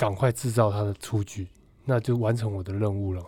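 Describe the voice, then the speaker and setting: A man's fairly low, somewhat breathy voice with a dark, mellow tone, ordinary pitch variation, and a moderate pace. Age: 30s. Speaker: baseball pitcher and bank employee. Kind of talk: casual interview.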